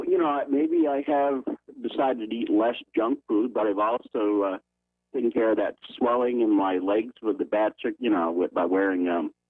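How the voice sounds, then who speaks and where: Loudness stays very even as a man speaks at a moderate pace. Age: 60s. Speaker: caller. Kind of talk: casual chat. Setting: phone call.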